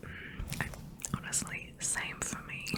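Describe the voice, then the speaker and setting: Over noticeable background noise, a woman whispers in a gentle tone. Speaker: ASMR artist. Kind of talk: ASMR roleplay, personal attention. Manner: soft-spoken, whispering, gentle.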